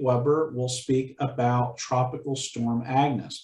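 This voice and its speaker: Somewhat breathy, a man with an American accent speaks at a very slow pace. The recording carries audible room echo. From Chester County, Pennsylvania; Pennsylvania. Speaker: museum event host. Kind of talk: event moderation. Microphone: webcam.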